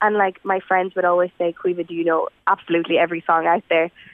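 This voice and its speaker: Fairly quick speech in a western Irish accent. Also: woman. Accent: Irish (west of Ireland). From Ireland, rural Galway. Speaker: singer-songwriter. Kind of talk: radio interview.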